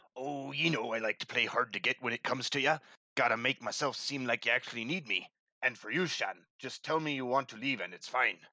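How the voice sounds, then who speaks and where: Using a put-on character voice, a man speaks at a fairly quick pace. His pitch sits in the medium range. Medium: audio drama. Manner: gruff, hearty, salty.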